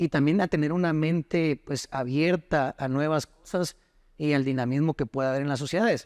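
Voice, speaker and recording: A man speaks in an unremarkable speaking voice at a fairly high pitch and fairly slow pace. His intonation is fairly even, and the sound is dry and close with no echo. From Costa Rica until ten, then Guatemala. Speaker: lawyer and former footballer. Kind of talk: interview.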